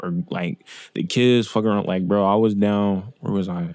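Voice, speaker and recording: A dark, mellow tone in a dry, close sound with no echo. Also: man. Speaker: interviewer and YouTuber. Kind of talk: casual podcast interview. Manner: quiet, not loud.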